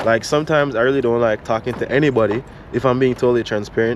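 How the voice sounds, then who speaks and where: Over noticeable background noise, a man speaks at a fairly quick pace in a Jamaican accent. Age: 30s. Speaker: photographer, vlogger. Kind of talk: vlog, casual talk to camera.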